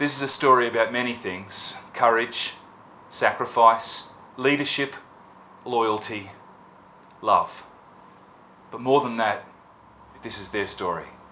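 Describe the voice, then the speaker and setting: In an Australian accent and a solemn tone, a man of medium pitch talks at a fairly slow pace with fairly even intonation and long, frequent pauses. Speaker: poet. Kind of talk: scripted narration.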